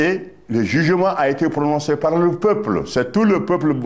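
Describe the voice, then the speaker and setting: With vocal fry and audible room echo, a man speaks at a very slow pace. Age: 80s+. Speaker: former party official, political veteran. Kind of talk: interview. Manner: halting, with repetitions.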